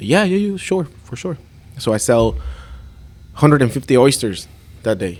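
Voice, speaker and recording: With a Spanish accent, a man speaks at a moderate pace and medium pitch, his pitch swinging very widely and his loudness shifting greatly, broken by long, frequent pauses. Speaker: chef and restaurant owner. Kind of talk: casual chat.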